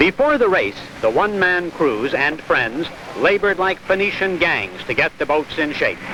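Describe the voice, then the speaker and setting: A man speaks at a moderate pace with a high pitch and very wide swings in pitch. Noticeable background noise sits behind him. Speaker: news reporter / sports commentator. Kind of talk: vintage broadcast news report narration.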